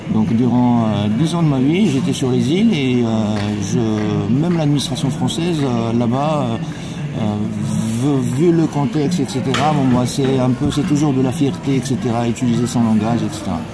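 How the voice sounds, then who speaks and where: A man speaks at a very even loudness, with audible echo in the room. Music plays in the background. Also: medium pitch for a man, ordinary pitch variation, moderate pace. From Morocco. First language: Arabic (speaking French). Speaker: passer-by interviewed on the street. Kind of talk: street interview. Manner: halting, many hesitations.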